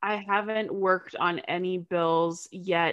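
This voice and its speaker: A woman with a Canadian accent, her pitch fairly low, against a quiet background. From Canada, small town. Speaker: digital marketer and anti-trafficking advocate. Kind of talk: interview conversation.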